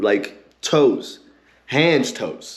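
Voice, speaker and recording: There is audible room echo around the voice. A man speaks in an animated tone with vocal fry. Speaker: show host / commentator. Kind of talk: commentary rant.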